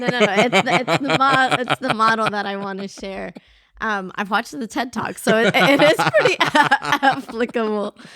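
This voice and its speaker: A woman with a fairly high voice talks at a moderate pace, her pitch varying in an ordinary way, as noticeable noise sits in the background. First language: not English. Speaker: podcast co-host. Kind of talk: casual chat.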